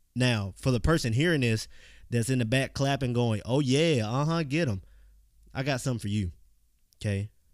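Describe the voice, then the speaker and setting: A man speaks in a Southern US accent, with long, frequent pauses. The recording is very clean, with a silent background. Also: medium pitch for a man, ordinary pitch variation, moderate pace. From US South, Mississippi. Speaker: podcast host. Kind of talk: motivational monologue. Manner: casual, conversational.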